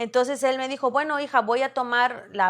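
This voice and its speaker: A woman talks in a high pitch with a bright, sharp tone at a moderate pace. The recording is very clean, with a silent background. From Veracruz, Mexico. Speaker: radio announcer. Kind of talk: interview answer.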